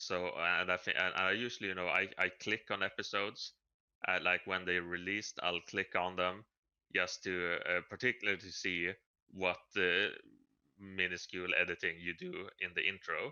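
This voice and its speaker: Monotone and flat, a man's very deep, low voice moves at a moderate pace. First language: not English. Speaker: podcast co-host. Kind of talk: casual chat. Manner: halting.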